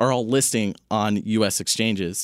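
On a very clean recording with a silent background, a man uses an ordinary speaking voice at a moderate pace with fairly even intonation. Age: 20s. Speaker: investment analyst. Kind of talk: casual chat.

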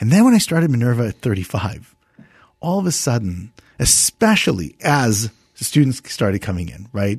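A man with an American accent speaks in a somewhat breathy, medium-pitched voice with lively intonation against a quiet background. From New Jersey. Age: 40s. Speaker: university founder. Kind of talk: interview.

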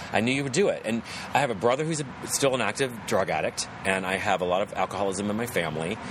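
Someone speaks at a very fast pace with an American accent, the intonation lively. Noticeable background noise runs underneath. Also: man, medium pitch for a man. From West Virginia. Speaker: actor. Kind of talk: casual chat. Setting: poolside outdoors.

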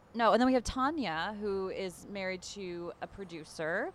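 A woman with an ordinary speaking voice, medium in pitch, with ordinary pitch variation. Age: 30s. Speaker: reality TV cast member. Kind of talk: casual chat. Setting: in person meeting.

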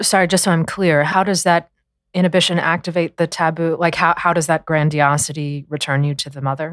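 Here is an unremarkable speaking voice with fairly even intonation. It moves at a fairly quick pace. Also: woman, fairly low pitch for a woman. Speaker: podcast co-host, film discussion. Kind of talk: casual scholarly discussion.

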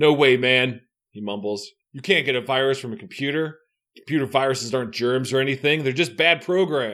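A quiet background with reading aloud in a natural voice

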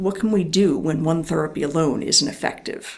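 A woman speaks at a moderate pace with a fairly low pitch and ordinary pitch variation. Noticeable background noise is present. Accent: slight Philadelphia. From US Northeast, Philadelphia area. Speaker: neuroscience professor. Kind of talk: interview.

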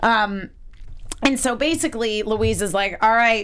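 An animated woman's voice with a fairly high pitch and an American accent, at a fairly slow pace. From US Northeast (Connecticut). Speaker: TV aftershow host. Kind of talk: casual chat.

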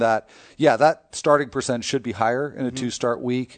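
Against a quiet background, a man speaks in an ordinary speaking voice with ordinary pitch variation. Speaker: fantasy baseball analyst. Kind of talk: casual chat.

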